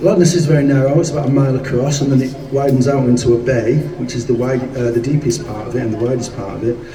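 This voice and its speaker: Very fast and fairly even in intonation, a man with a medium pitch speaks amid noticeable background noise and audible room echo. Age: 60s. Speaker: rock singer. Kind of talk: onstage storytelling. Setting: live gig in a shop with audience.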